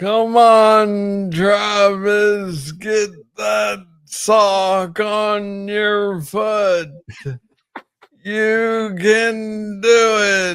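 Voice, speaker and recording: Speaking very slowly in a flat monotone, a man with a high pitch is heard with audible room echo. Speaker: person with Parkinson's. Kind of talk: casual interview.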